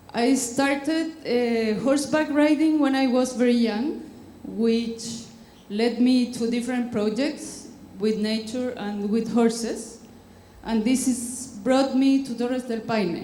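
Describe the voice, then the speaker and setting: In a room with audible echo, a woman with a Spanish accent speaks very slowly in a high pitch with fairly even intonation. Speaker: conservationist. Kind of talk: conference talk. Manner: halting.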